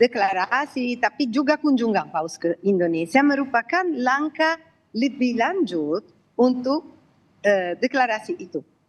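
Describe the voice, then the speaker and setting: A high-pitched woman speaks at a fairly slow pace with very wide pitch swings, captured dry and close with no echo. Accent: Italian. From Italy. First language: Italian (speaking Indonesian). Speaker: commentator on interfaith dialogue. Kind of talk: live TV interview. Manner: halting.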